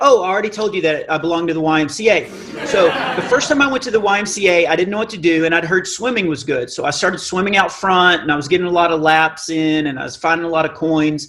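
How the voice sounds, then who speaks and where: Over noticeable background noise and audible room echo, a man talks very fast in a high pitch, his tone animated and his pitch variation ordinary. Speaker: comedian. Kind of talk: stand-up.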